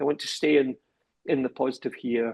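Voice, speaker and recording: With vocal fry in his voice, a man talks at a fairly quick pace and a medium pitch. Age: 60s. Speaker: podcast host, professor and business executive. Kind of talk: podcast interview. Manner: halting, many repetitions.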